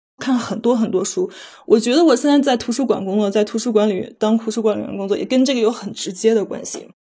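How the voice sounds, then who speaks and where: Very fast and fairly high-pitched, a woman's voice has a dark, mellow tone and ordinary pitch variation. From Beijing, China. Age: 30s. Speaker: library technician. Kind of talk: personal testimony.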